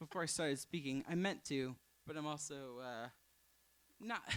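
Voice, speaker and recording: A man mumbles at a moderate pace. His tone is bright and sharp. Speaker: storyteller. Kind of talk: storytelling. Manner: mumbling; halting.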